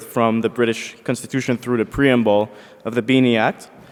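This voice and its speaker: Speaking very fast, a man with a medium-pitched voice keeps a monotone, flat intonation. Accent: Quebec. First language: French. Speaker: law student presenting essay. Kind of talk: conference paper presentation. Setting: conference, seated with microphone.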